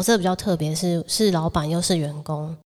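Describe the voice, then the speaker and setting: A woman with a fairly low-pitched voice talks at a moderate pace. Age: 20s. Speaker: podcast co-host. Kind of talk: casual chat. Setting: home-built studio.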